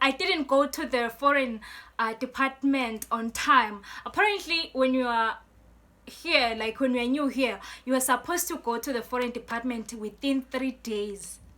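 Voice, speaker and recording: A woman speaks in a high, raised, projected voice. Her pitch varies in an ordinary way at a moderate pace. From Eswatini. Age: 20s. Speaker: student and poet YouTuber. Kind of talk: storytime vlog. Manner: casual, filler-heavy.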